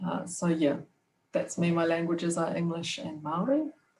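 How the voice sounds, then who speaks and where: In a New Zealand accent, the speaker talks at a fairly slow pace, sounding somewhat breathy. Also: woman. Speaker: podcast co-host, PhD student. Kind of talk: casual interview. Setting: video call.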